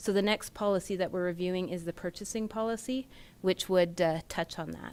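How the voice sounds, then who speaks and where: In a Canadian accent, a woman speaks at a fairly quick pace and medium pitch with fairly even intonation, on a very clean recording with a silent background. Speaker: municipal finance manager. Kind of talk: council meeting presentation. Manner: soft-spoken; formal.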